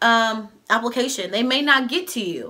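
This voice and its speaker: The tone is bright and sharp. The voice is raised and projected. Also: woman. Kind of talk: casual advice vlog. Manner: fast.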